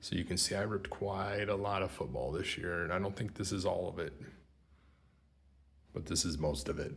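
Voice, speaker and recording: Whispering quietly at a fairly quick pace, a man sounds somewhat breathy. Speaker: sports card collector YouTuber. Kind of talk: casual product review. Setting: empty remodeled room.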